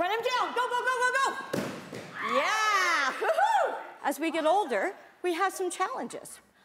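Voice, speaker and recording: A woman speaks in a raised, projected voice at an extremely high pitch, with very wide pitch swings, an animated tone and a fairly slow pace. Her loudness stays very even, while noticeable background noise and audible room echo surround her. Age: 60s. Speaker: self-defense instructor. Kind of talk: class instruction.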